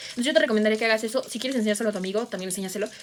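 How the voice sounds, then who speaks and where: There is noticeable background noise. Through it, a woman speaks at a fairly high pitch. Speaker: booktuber and writer. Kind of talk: tutorial. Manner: fast; casual, animated.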